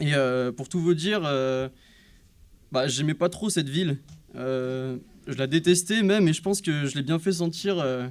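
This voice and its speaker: A man with a fairly high pitch talks at a fairly slow pace. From France, Loiret (Montargis). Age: 20s. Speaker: church member giving baptism testimony. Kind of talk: testimony. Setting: church service. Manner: hesitant, many filler sounds.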